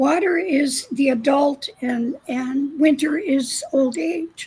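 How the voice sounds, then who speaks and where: With ordinary pitch variation, a woman's high voice comes through noticeable background noise. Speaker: shamanic teacher. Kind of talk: spiritual teaching.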